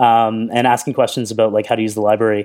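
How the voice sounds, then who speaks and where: This is a man's voice. He speaks at a fairly quick pace. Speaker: software founder and developer. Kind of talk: casual interview chat. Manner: fast talker.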